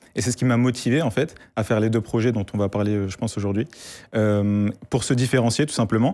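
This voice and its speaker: The voice has a dark, mellow tone, ordinary pitch variation and a fairly quick pace. It is a very clean recording with a silent background. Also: man. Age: 20s. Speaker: AI student and project creator. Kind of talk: interview on a live tech show.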